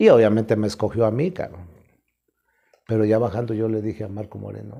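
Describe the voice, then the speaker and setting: A man's dark, mellow tone at a fairly quick pace against a quiet background. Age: 60s. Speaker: professional wrestler; interviewee. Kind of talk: interview, casual storytelling. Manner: animated, colloquial. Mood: relaxed, colourful anecdote telling. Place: home room. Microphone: lapel.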